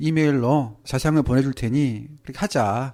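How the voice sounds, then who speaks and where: A man's medium-pitched voice, dark and mellow in tone, at a moderate pace in a very clean recording with a silent background. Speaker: nurse. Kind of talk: interview storytelling. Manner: casual, anecdotal.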